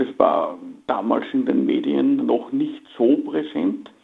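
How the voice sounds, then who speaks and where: A man speaks against noticeable background noise. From Austria. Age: 50s. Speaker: finance executive. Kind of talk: interview.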